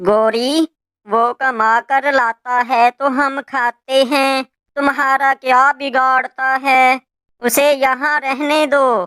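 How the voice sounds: A female-sounding cartoonish character voice, pitched high for a woman, delivers its lines at a very slow pace.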